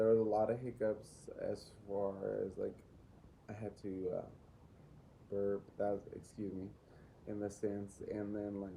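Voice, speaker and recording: With a dark, mellow tone, the voice moves at a fairly slow pace in a monotone, flat intonation, leaving long, frequent pauses. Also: man, fairly low pitch for a man. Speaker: student teacher. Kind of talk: assignment reflection.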